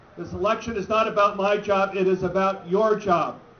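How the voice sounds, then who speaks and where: Noticeable background noise surrounds a man talking in a high voice with an American accent. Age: 60s. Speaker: political candidate. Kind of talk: campaign speech. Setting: rally with audience. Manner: animated.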